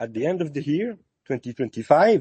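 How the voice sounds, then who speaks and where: This speaker talks at a moderate pace with lively intonation and a French accent. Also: man. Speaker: lighting designer and artist. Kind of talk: casual chat. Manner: halting, many fillers.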